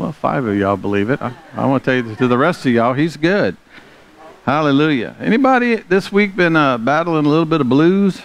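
Speaking at a fairly quick pace, a man with a Southern US accent has a fairly high pitch and very wide pitch swings. The sound is dry, with no echo. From US South. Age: 60s. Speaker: pastor; preacher. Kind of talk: sermon. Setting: church. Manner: animated. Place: church.

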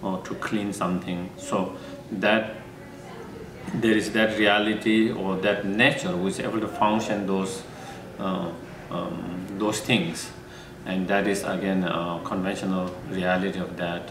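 A man with a fairly low voice speaks at a fairly slow pace in a monotone, flat way, leaving long, frequent pauses amid noticeable background noise. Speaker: monk teacher. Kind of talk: interview answer. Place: home room.

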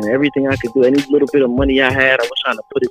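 A man speaks with an energetic tone and a fairly high pitch. Faint music plays in the background, and the sound is dry, with no echo. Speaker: rapper / independent music artist, caller on a radio show. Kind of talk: casual talk to radio host, caller conversation. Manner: casual, conversational, energetic. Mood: earnest and explanatory. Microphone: video call.

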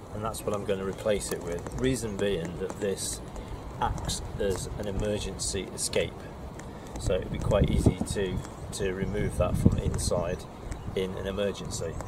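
Loud background noise behind a man's voice, the sound dry and without echo. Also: moderate pace. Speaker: boat owner vlogger. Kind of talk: tutorial. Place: boat.

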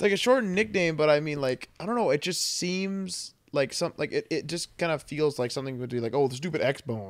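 A man talks at a fairly quick pace and a fairly high pitch, with hardly any pauses. His tone is animated and his intonation lively. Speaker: video game podcast co-host. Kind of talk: casual chat.

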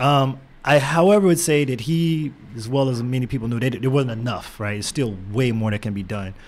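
A man with an American accent at a medium pitch, a fairly quick pace and ordinary pitch variation. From Texas, Houston. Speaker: tech entrepreneur and former engineer; podcast guest. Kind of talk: interview. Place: studio. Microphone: studio mic.

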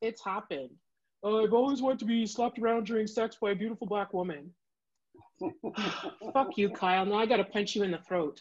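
A woman with a Canadian accent talks at a moderate pace. Her pitch is medium, with ordinary variation.

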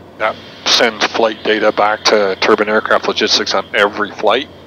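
A man talks at a fairly quick pace and fairly low pitch, with a dry sound with no echo and noticeable background noise. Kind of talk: casual vlog commentary. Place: plane. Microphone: headset.

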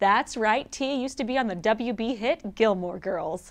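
Against a quiet background, a woman speaks with lively intonation in an upbeat, playful tone. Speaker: entertainment news host. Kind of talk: entertainment gossip segment read to camera. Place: studio.

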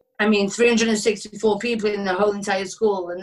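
Fairly slow speech against a quiet background. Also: woman. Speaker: former performer, author. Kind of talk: interview. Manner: energetic. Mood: candid, reflective about hard past. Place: home room. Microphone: webcam.

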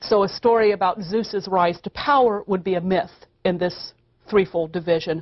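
In an American accent, a woman talks at a moderate pace with a medium pitch and ordinary pitch variation. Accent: American Midwestern-Southern. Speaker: classics professor. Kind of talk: university lecture.

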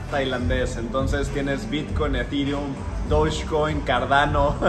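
A moderate pace from a man's voice amid noticeable background noise. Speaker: vlogger. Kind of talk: casual vlog chat. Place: cafe. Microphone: phone near.

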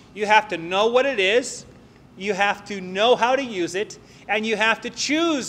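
A man speaks in a bright, sharp tone. His pitch moves in an ordinary way. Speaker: preacher. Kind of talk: sermon. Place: church. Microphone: podium.

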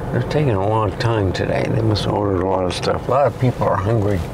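Normal pitch movement in a man's speech, noticeable noise behind it. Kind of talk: casual vlog chat. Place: car.

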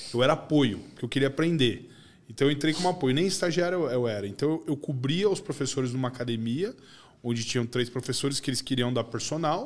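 The speech is very fast. Its pitch variation is ordinary. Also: man, fairly high pitch for a man. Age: 40s. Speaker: podcast host. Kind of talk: casual chat. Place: studio. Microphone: studio mic.

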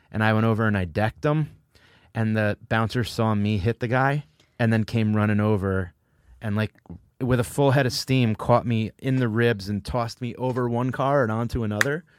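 A man with a normal speaking voice talks at a moderate pace and medium pitch with ordinary pitch variation, in a very clean, dry, close recording with no echo and a silent background. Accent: American. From New Haven, Connecticut. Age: 40s. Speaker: comedian and podcast host. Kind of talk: sponsor read; casual chat.

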